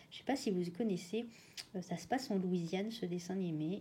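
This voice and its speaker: A woman's somewhat breathy voice of medium pitch, dark and mellow in tone, with ordinary pitch variation. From Réunion. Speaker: colouring hobbyist youtuber. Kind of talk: casual chat. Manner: halting.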